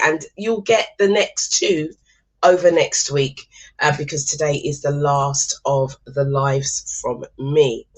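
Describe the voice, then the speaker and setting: Somewhat breathy, a woman speaks at a very slow pace with ordinary pitch variation. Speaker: motivational speaker. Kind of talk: live stream talk. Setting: live stream.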